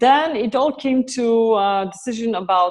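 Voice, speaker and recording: A woman with a Polish accent speaks with ordinary pitch variation. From Poland. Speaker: author and raw food advocate. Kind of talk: interview. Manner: halting.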